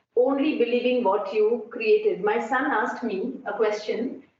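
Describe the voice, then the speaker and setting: In a room with audible echo, a woman talks at a high pitch with ordinary pitch variation. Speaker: architecture professor. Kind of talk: conference talk.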